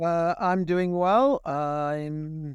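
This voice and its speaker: A high-pitched male voice with a dry, close sound and no echo. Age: 70s. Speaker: podcast guest. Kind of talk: casual interview chat. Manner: hesitant, with fillers.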